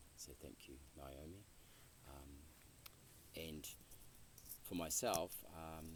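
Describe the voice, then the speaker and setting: With audible room echo, a man with a very deep, low pitch and ordinary pitch variation talks at a very slow pace, leaving long, frequent pauses. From New Zealand, rural North Island. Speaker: interviewee, Buddhist practitioner. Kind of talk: interview. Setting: outdoor retreat land, Western Massachusetts. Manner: halting, many fillers and repeats.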